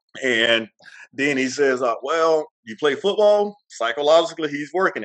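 Speaking in a Mississippi accent, a man keeps a moderate pace and a fairly high pitch. The recording is dry and close, with no echo. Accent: Southern US (Mississippi). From US South, Mississippi. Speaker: retired Marine and bodybuilder. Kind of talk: interview.

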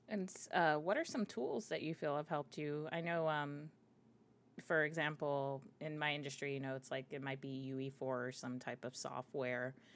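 A woman with an American accent speaks at a moderate pace. Her pitch is very deep and low, with ordinary variation. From Miami, Florida. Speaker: podcast host. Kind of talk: interview.

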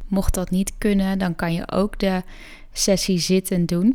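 Calm and gentle in tone, a woman of medium pitch speaks at a very slow pace in a very clean recording with a silent background. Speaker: yoga nidra guide and podcast host. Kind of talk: guided meditation. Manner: slow, soft, soothing; calm, gentle, with long pauses.

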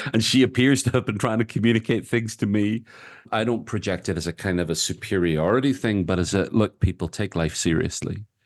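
Here a man with a Northern Irish accent talks at a fairly quick pace over a quiet background. His fairly low pitch has ordinary pitch variation. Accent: Northern Irish (Belfast). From Northern Ireland, Belfast. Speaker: author and activist. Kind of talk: interview conversation. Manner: talkative.

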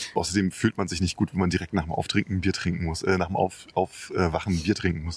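A man's very deep, low voice, very fast with hardly any pauses, monotone and flat, in a dry, close sound with no echo. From Leipzig, Saxony, Germany. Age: 40s. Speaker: DJ and music producer. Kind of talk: casual chat. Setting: outdoors, walking in a park.

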